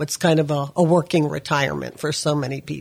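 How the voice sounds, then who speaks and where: Speaking at a fairly quick pace, a woman uses a very deep, low pitch with fairly even intonation and vocal fry. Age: 70s. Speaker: retirement expert guest. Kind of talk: casual interview. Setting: studio.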